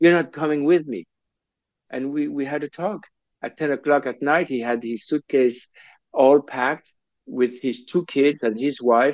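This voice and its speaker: In a French accent, a man speaks at a moderate pace and fairly high pitch with ordinary pitch variation, the sound dry and close with no echo over a quiet background. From Switzerland. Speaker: film director. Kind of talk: interview. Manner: halting, many repetitions.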